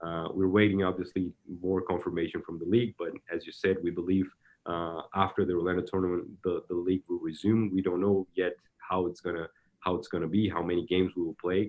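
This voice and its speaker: Very fast speech in a Brazilian accent with a monotone, flat intonation. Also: man, very deep, low pitch for a man. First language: Portuguese. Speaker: soccer technical director. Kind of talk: interview. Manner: halting, many repetitions.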